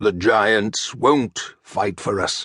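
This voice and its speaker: A man puts on a character voice, growling at a fairly low pitch. The sound is dry and close, with no echo. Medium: read story. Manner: forceful, commanding.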